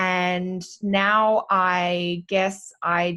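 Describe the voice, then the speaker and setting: Quiet surrounds a woman as she talks. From Australia, Sydney. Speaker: astrologer. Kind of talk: podcast interview.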